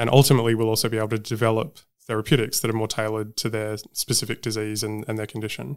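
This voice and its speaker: A man with an Australian accent at a very fast pace, medium-pitched and flat in intonation, in a very clean recording with a silent background. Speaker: genomics researcher and professor. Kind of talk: interview.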